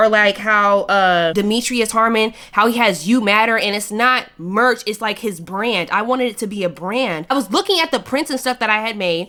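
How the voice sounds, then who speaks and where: Loud and fairly quick, a woman speaks in a fairly high voice with a bright, sharp tone and lively intonation. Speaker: YouTube vlogger. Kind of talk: casual chat.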